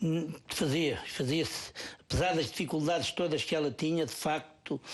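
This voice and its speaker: A man speaks with a central Portuguese accent at a moderate pace, his pitch fairly high. His loudness stays very even and his intonation fairly even. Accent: European Portuguese, Ribatejo. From Portugal, Ribatejo. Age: 50s. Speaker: parish council president. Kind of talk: TV interview.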